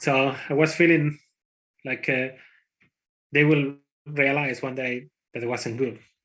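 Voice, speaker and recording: A man with a strong Spanish accent at a fairly slow pace. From Spain. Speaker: conference speaker, IT developer. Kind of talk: conference talk. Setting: conference talk. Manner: hesitant, with fillers.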